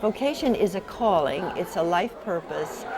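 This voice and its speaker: A woman speaks at a medium pitch. There is audible room echo and noticeable background noise. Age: 80s+. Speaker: visionary and author. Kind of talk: interview.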